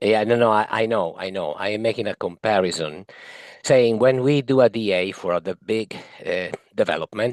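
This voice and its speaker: In a dry, close sound with no echo and a quiet background, a man speaks at a moderate pace with a fairly low pitch and ordinary pitch variation. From Italy. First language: Italian. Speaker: municipal advisory committee member. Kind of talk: committee meeting discussion. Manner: halting.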